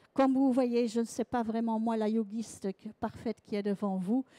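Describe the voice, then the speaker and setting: A woman with a Belgian accent, a dark, mellow tone, and monotone, flat intonation, in a dry, close sound with no echo and a very clean recording with a silent background. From Belgium. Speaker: sound massage trainer. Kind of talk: conference talk. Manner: halting.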